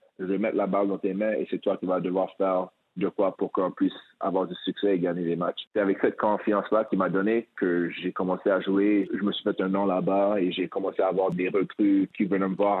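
A man talks at a fairly quick pace in a fairly low pitch. His intonation is monotone and flat. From Quebec, Montreal. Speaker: former pro basketball player and coach. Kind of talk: interview.

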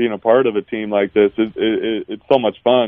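A man's medium-pitched voice at a moderate pace, flat and monotone. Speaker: basketball assistant coach. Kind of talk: radio interview. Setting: phone call.

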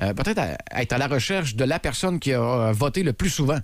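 Speaking at a fairly quick pace with a Quebec accent, a man uses a fairly high pitch with very wide swings. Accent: Québécois French. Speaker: morning radio host. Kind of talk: casual chat.

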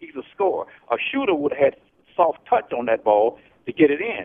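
With an American accent, a man speaks at a fairly quick pace. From San Francisco Bay Area, US. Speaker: caller. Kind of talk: call-in sports opinion. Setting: phone call.

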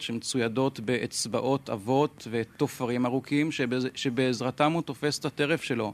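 With a plain, everyday voice, a man speaks at medium pitch with fairly even intonation. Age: young. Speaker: birdwatcher and wildlife photographer. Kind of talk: explanation to audience. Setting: stage with audience. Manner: formal.

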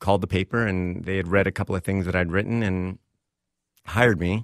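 In a very clean recording with a silent background, a man with an American accent speaks in a very deep, low voice with fairly even intonation. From Texas. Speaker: screenwriter and columnist. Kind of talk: interview.

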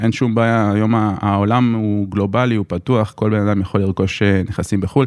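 A man with a fairly low pitch speaks at a moderate pace in a very clean recording with a silent background. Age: 30s. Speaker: lawyer. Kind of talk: interview. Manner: hesitant, many fillers.

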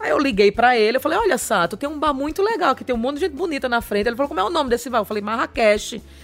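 A woman talks at a very fast pace and a high pitch, with lively intonation and hardly any pauses. Noticeable background noise sits behind her. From Maceió, northeast Brazil. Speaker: comedian. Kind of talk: casual chat. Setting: studio.

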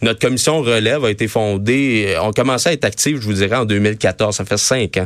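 At a fairly quick pace with hardly any pauses, a man with an unremarkable speaking voice talks at a fairly low pitch with ordinary pitch variation. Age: 20s. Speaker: youth wing leader of a political party. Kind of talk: radio interview. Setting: studio.

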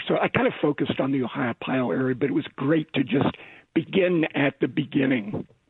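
A man with an American accent has a normal speaking voice, fairly high in pitch. He talks at a fairly quick pace with ordinary pitch variation. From Pennsylvania. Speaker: author. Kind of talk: interview.

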